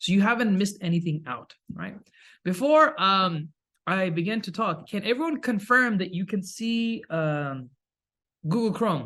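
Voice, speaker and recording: Against a quiet background, a man with a high pitch and a bright, sharp tone speaks with lively intonation. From Kuwait, Pakistani family. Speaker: Islamic studies lecturer. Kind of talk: webinar lecture. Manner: fast.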